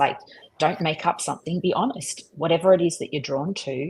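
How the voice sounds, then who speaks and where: Somewhat breathy and fairly low in pitch, a woman with an Australian accent speaks at a moderate pace with ordinary pitch variation. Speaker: street photographer. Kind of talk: live online talk, Q&A. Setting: live video stream.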